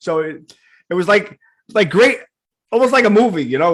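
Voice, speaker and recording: A voice with a New York accent swings very widely in pitch. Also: man. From New York (Queens). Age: 50s. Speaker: podcast host. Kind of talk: casual interview.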